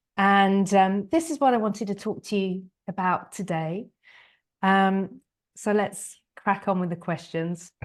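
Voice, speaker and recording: Over a quiet background, the speaker talks with a British accent at a moderate pace and with ordinary pitch variation. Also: woman. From London, England. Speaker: interviewer. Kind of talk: interview.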